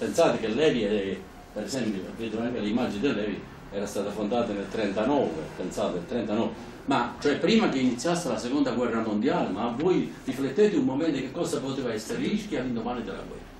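A man's voice at a fairly quick pace, with audible room echo and light background noise. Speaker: speaker. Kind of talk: public talk with anecdotes. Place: hall. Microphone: camera far.

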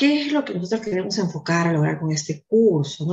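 A woman speaks at a moderate pace in a fairly low pitch. Her voice is somewhat breathy. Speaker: online course instructor. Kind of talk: lecture. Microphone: webcam.

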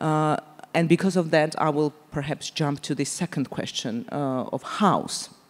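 Speaking in a Georgian accent, a woman has a very deep, low pitch. She talks at a fairly slow pace with ordinary pitch variation. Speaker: politician; speaker. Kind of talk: panel discussion. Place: stage. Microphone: handheld.

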